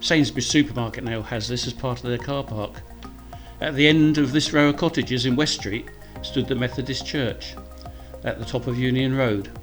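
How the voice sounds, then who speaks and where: With music in the background, a man in a Kent accent speaks at a moderate pace, medium in pitch, with ordinary pitch variation. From Deal, Kent, England. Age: 70s. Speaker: local historian. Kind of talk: documentary narration.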